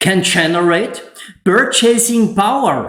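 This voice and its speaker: Against a quiet background with audible room echo, a man with a German accent speaks at a very slow pace with ordinary pitch variation. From Austria. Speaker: solar energy installer and YouTuber; YouTuber. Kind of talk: tutorial. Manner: less emotional in English than in German. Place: home room.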